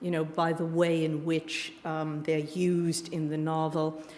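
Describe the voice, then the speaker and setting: With a New York accent, a woman speaks in a fairly low pitch against noticeable background noise. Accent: New York American. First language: Yiddish. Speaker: author and creative writing teacher. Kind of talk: book event interview.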